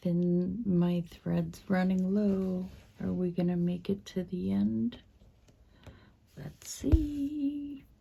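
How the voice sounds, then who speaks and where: Soft-spoken and somewhat breathy, a woman with a dark, mellow tone and fairly low pitch talks at a very slow pace with very wide pitch swings. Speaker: craft video creator. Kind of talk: casual stitch-along chat. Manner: hesitant, many fillers.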